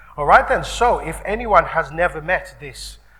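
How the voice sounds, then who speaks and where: Noticeable background noise behind a man talking at moderate speed. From Birmingham, England. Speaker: radio presenter and event host. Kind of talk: live event interview introduction. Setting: stage with live audience. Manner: casual, chatty.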